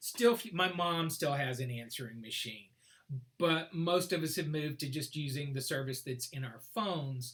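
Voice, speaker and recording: The pitch of this man's voice is fairly high, and he speaks at a moderate speed. It is an ordinary speaking voice, with ordinary pitch variation. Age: 60s. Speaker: mathematics professor. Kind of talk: casual chat.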